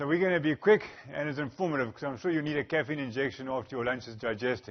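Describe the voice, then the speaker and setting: Here a man talks at a very fast pace. His pitch is fairly high, with ordinary variation. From Zimbabwe, Bulawayo. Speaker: energy specialist, engineer. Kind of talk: conference presentation.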